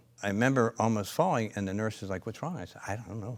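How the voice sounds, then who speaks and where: This man has a Pennsylvania accent and a medium pitch with ordinary variation. The recording is very clean, with a silent background. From Pennsylvania, US. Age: 60s. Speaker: company founder and chiropractor. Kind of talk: interview storytelling. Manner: hesitant, many fillers.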